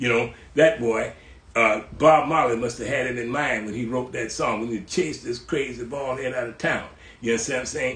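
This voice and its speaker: Fairly quick and with fairly even intonation, a man speaks in audible room echo. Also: medium pitch for a man. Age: 80s+. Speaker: cultural historian, host's father. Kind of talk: casual interview chat. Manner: halting, repeating words.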